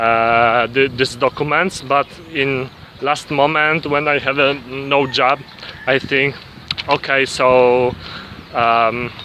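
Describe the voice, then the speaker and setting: A man with a Polish accent, fairly high-pitched, speaking at a very slow pace, with fairly even intonation and noticeable background noise. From Poland. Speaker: vlogger. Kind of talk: casual vlog monologue. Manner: halting, many fillers and restarts.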